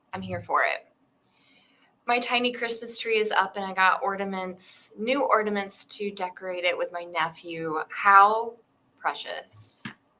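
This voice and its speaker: With an American accent, a woman speaks at a fairly slow pace. Her tone is bright and sharp, and her pitch variation is ordinary. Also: medium pitch for a woman. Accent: Southern twang, sometimes comes out. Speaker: writing livestream host, writer. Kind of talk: casual chat.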